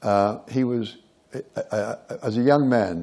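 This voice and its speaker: Using ordinary pitch variation, a man with an Australian accent speaks in a dark, mellow tone. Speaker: theatre director. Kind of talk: onstage interview. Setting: stage with audience.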